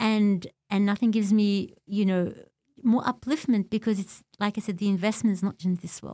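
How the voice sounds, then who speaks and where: A woman with an Australian accent speaks at a moderate pace and a medium pitch with fairly even intonation. The sound is dry and close, with no echo. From Australia, Melbourne (born in Beirut, left at six). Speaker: community leader and religious teacher. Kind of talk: interview, personal life story.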